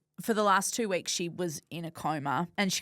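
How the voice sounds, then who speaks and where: Someone with an Australian accent speaks in a very clean recording with a silent background. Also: woman. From Western Australia. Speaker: podcast host. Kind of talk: interview. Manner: loud.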